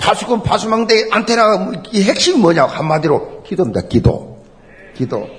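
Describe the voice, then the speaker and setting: Over noticeable background noise, a man talks at a moderate pace in an animated tone. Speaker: preacher. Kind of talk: sermon. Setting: church. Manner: animated, emphatic preaching with repetition; rhetorical questions and exclamations.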